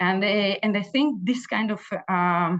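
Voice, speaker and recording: A woman talks with ordinary pitch variation over a quiet background. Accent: Israeli. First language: Hebrew. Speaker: Israeli consulate official. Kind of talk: community briefing talk. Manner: halting, many fillers and repetitions.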